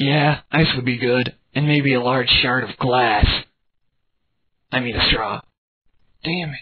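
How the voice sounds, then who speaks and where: Using a put-on character voice, a man speaks at a fairly slow pace and medium pitch, with long, frequent pauses. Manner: deadpan, menacing.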